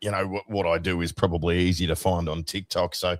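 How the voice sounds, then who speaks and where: A man with an Australian accent talks at a moderate pace in a very deep, low pitch on a very clean recording with a silent background. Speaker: radio host. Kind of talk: casual chat.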